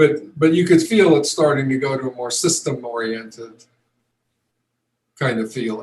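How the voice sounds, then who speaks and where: The man's medium-pitched voice is somewhat breathy and moves at a fairly slow pace. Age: 70s. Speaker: retired pro football player. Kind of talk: interview. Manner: halting, many fillers and restarts.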